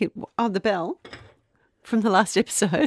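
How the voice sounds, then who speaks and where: A woman's fairly high voice in an Australian accent, at a moderate pace, with a dry, close sound and no echo. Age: 50s. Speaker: podcast co-host and radio presenter. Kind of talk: casual chat with storytelling.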